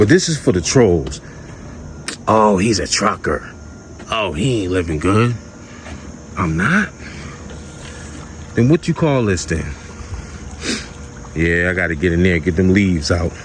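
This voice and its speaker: Over noticeable background noise, a man with a very deep, low voice speaks in an animated tone with lively intonation, leaving long, frequent pauses. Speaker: vlogger, trucker. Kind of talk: casual vlog rant. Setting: outdoors in backyard by pool. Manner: quiet, low volume; animated, emphatic.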